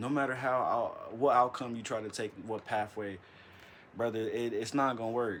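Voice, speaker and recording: A man speaks at a medium pitch and a moderate pace, his intonation monotone and flat. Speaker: video blogger. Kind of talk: casual motivational monologue. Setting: home recording on an iPad at night. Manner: stuttering; casual, halting.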